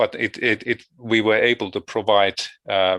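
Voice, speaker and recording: Against a quiet background with a dry, close sound and no echo, a man with a Finnish accent talks at a moderate pace in a bright, sharp tone with fairly even intonation. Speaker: education researcher. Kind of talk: conference presentation. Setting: video call. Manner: halting.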